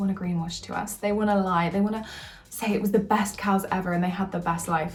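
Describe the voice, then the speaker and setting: There is noticeable background noise and audible room echo around a woman speaking at a medium pitch. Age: 20s. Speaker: vlogger. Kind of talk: casual vlog talk. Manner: fast.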